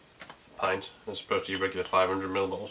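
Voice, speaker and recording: A man talks at a very fast pace with a North Yorkshire accent. Background noise is noticeable. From North Yorkshire, England. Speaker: beer reviewer. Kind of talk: casual video review. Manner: hesitant, many fillers.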